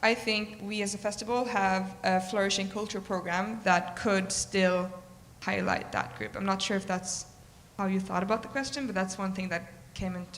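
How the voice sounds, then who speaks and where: Amid audible room echo, a woman talks at a moderate pace and medium pitch with monotone, flat intonation. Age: 20s. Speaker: presidential candidate at student election. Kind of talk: answering questions at election meeting.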